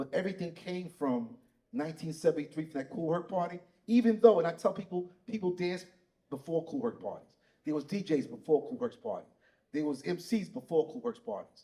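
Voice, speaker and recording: Dark, mellow tone in a New York accent, with lively intonation at a fairly quick pace. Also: man, high pitch for a man. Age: 60s. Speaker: breaking pioneer. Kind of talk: panel discussion.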